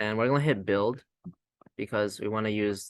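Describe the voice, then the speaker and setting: A man talks with a fairly low-pitched voice. The sound is dry and close, without any echo. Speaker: student robotics team member teaching a firmware tutorial. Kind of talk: tutorial. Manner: fast; casual, many fillers.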